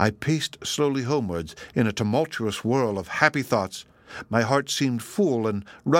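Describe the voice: Simple reading aloud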